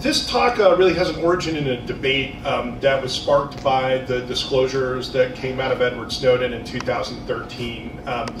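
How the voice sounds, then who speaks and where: Noticeable background noise sits behind a man talking at a moderate pace with hardly any pauses. His pitch varies in an ordinary way. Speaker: conference presenter. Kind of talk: lecture. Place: hall.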